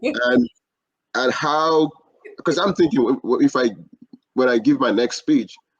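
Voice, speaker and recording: Speaking in a Nigerian accent, a man goes at a fairly slow pace with long, frequent pauses. His loudness stays very even, and the sound is dry and close with no echo. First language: not English. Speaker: podcast host. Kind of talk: interview.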